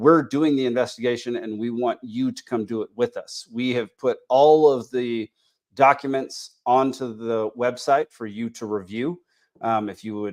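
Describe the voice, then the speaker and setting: A man with an American accent speaks at medium pitch and a moderate pace, with fairly even intonation and big swings in loudness, in a dry, close sound with no echo and a quiet background. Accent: Texas accent, thicker when back home. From Texas. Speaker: podcast host. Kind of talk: casual podcast chat. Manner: halting, many fillers.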